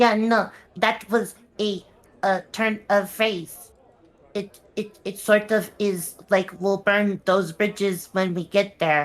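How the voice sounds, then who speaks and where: A put-on character voice that sounds female speaks at a fairly slow pace and a medium pitch for a woman. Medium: actual play. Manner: halting, stammering.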